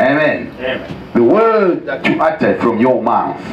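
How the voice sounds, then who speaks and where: Noticeable background noise sits behind a man's voice. His pitch swings very widely. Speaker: pastor preaching a sermon. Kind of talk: sermon to a congregation.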